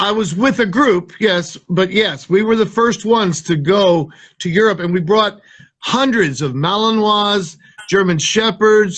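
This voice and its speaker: With an American accent, a man speaks fairly slowly at a high pitch and with ordinary pitch variation. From US Midwest, south of Chicago, Illinois. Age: 60s. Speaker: military dog trainer. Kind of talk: interview.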